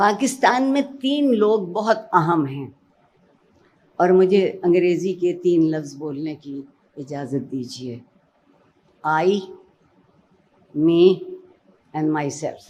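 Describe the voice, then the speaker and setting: A woman's fairly low voice, with very wide pitch swings and big swings in loudness. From Pakistan. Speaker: educationist and Urdu language expert. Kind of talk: motivational speech.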